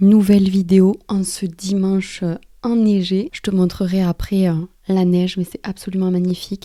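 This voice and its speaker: A woman's dark, mellow voice at a fairly slow pace, in a monotone, flat intonation. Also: medium pitch for a woman. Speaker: life coach / motivational YouTuber. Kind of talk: motivational talk to camera.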